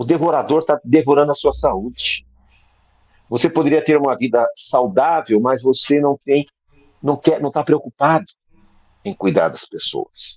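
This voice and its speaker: In a dry, close sound with no echo, a man with a fairly high pitch speaks at a fairly slow pace, with long, frequent pauses and ordinary pitch variation. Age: 60s. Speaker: preacher. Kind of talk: sermon. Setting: video call.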